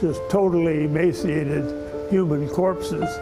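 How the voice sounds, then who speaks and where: A man with a fairly high pitch talks at a fairly slow pace. Music plays in the background and the room echo is audible. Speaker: war veteran. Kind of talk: interview.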